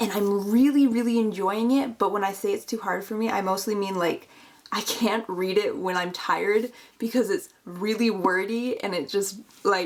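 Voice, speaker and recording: A woman's medium-pitched voice with fairly even intonation at a moderate pace. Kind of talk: casual talk to camera.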